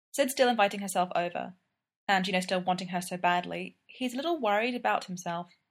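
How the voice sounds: Quiet background beneath a natural reading voice.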